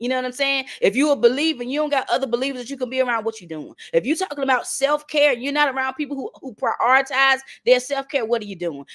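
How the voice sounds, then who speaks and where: A woman talks very fast in a Southern accent with an animated tone. Her voice sits high, with ordinary pitch variation. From North Carolina. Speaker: motivational speaker. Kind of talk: motivational talk.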